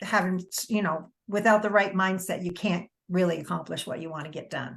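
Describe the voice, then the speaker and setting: Against a quiet background, a woman's somewhat breathy voice moves at a moderate pace. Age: 60s. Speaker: wellness coach. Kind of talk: interview.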